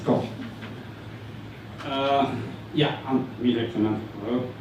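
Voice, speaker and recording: Fairly even intonation at a fairly slow pace, with noticeable background noise and audible room echo. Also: man. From Ukraine. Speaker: conference speaker. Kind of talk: tech meetup talk. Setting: stage with audience. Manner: halting, many fillers.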